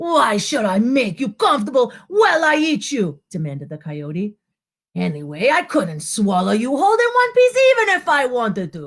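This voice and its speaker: In a put-on character voice, the speaker growls in a gruff manner at a moderate pace. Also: female-sounding voice, high pitch for a woman. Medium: read story. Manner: growling, gruff.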